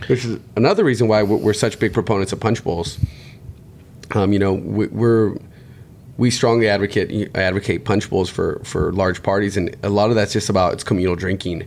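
A man's fairly low-pitched, fairly quick delivery with fairly even intonation, a normal speaking voice. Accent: American. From Southern California (Hemet, Riverside County). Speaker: bartender and bar owner. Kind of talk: casual interview.

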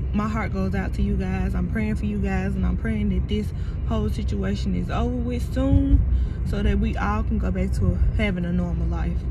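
Over music in the background, a woman talks at a fairly quick pace, the sound dry with no echo. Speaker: childcare worker vlogger. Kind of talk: casual vlog chat. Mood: calm, grateful, a bit sleepy. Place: car. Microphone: phone near.

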